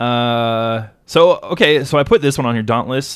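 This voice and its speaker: At a moderate pace, a man of medium pitch with ordinary pitch variation talks in a plain, everyday voice. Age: 30s. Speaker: podcast co-host. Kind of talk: casual chat.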